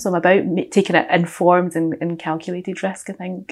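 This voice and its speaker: Monotone, flat delivery from a woman with a Glaswegian accent. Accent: Glaswegian Scottish. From west coast of Scotland, Glasgow. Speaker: audit and finance professional. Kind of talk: casual interview. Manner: opinionated, strong-minded.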